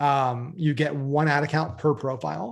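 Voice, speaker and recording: Fairly high pitch, a somewhat breathy quality and ordinary pitch variation in a man's voice. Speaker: marketing webinar presenter. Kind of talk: webinar training. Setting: live webinar with screen share.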